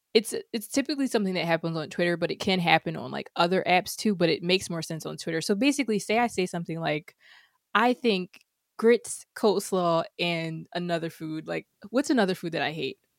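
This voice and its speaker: In a normal speaking voice, a woman with fairly low pitch talks at a fairly quick pace with lively intonation, on a very clean recording with a silent background and a dry, close sound with no echo. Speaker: developer advocate. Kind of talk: casual chat.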